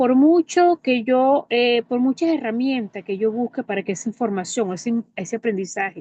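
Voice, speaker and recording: A woman with lively intonation, her sound dry and close with no echo, over a quiet background. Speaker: teacher. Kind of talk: testimony.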